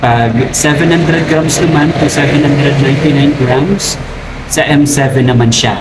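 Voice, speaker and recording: Audible room echo and noticeable background noise surround a man whose loudness stays very even and whose intonation is fairly even. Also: moderate pace. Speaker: crab trader vlogger. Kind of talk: tutorial. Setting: outdoors by the roadside.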